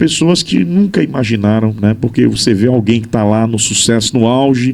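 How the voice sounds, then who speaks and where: Booming and dark, mellow in tone, this voice moves at a fairly slow pace with ordinary pitch variation. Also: man. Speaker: journalist and radio broadcaster. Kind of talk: interview conversation.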